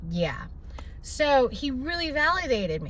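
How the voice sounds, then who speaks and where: The woman's tone is animated, with very wide pitch swings. Audible room echo surrounds her voice. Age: young. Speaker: vlogger. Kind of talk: casual vlog monologue. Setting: at the doctor's.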